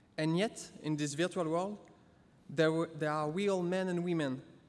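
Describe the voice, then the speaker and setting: Speaking with a French accent at a moderate pace, a man uses a fairly high pitch and fairly even intonation on a very clean recording with a silent background. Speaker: interactive experience designer. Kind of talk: conference talk.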